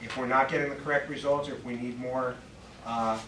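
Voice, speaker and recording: Amid noticeable background noise and audible room echo, a man with a medium pitch speaks at a very fast pace with fairly even intonation. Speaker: police commander. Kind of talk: public meeting remarks. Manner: loud.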